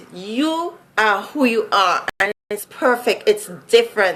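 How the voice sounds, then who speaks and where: A woman's fairly high-pitched voice with lively intonation and a Vincentian accent. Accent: Vincentian Caribbean accent, noticeable. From Saint Vincent (Caribbean). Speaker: vlogger. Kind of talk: casual vlog monologue. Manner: conversational, many fillers.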